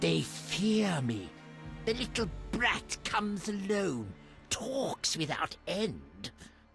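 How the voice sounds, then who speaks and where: A put-on character voice at middle pitch speaks at a very slow pace with clear music in the background. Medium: video game.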